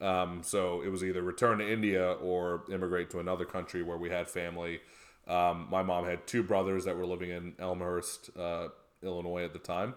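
In an American accent, a man speaks fairly quickly with a very deep, low pitch and flat, monotone intonation. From Chicago area, US. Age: 30s. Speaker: lobbyist, government affairs director. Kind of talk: casual interview chat.

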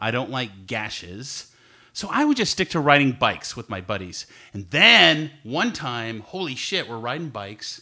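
A man with an American accent, medium pitch, moderate pace, lively intonation and a bright, sharp tone. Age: 50s. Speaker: podcast co-host. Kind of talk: casual chat.

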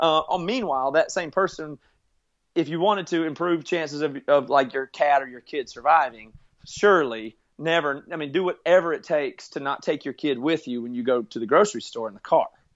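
An unremarkable speaking voice from a man with an American accent comes at a fairly quick pace, with a fairly high pitch, ordinary pitch variation and big swings in loudness. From US South, rural South Carolina. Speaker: musician and podcast producer. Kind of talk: interview.

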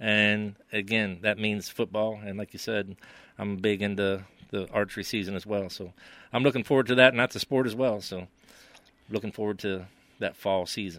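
Here is a man with a West Virginia accent and a fairly low pitch. He speaks at a moderate pace with fairly even intonation. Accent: West Virginia Appalachian. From West Virginia, Preston County. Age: 50s. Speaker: local sports commentator. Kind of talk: casual sports chat.

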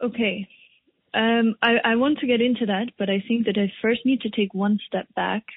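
At a moderate pace, a woman with a fairly high pitch talks in an ordinary speaking voice, her intonation fairly even and her loudness very even. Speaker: podcast host. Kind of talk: interview.

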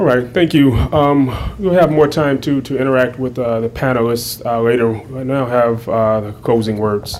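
A man talks at a moderate pace and medium pitch with ordinary pitch variation and hardly any pauses. Noticeable background noise and audible room echo fill the recording. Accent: American. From Raleigh, North Carolina. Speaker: history professor and moderator. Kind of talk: moderating panel; lecture. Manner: halting, repeats words.

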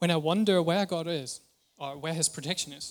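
Pitch varies in an ordinary way, and the pace is moderate. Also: man. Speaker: preacher. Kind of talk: sermon. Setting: church.

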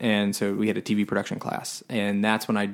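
A normal speaking voice at a fairly quick pace. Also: man. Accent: American. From Florida (Tampa). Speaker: filmmaker. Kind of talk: casual interview chat. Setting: in person at host's home.

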